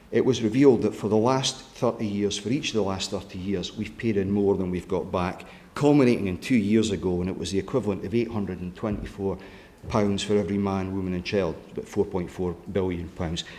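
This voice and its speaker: With fairly even intonation and a fairly low pitch, a man talks at a fairly quick pace amid audible room echo. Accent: Scottish. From Scotland. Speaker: politician. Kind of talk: conference speech.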